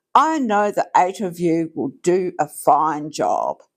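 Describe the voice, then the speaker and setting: A fairly slow pace marks this delivery. It is done in a put-on character voice. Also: woman, medium pitch for a woman. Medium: read story. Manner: gentle, caring.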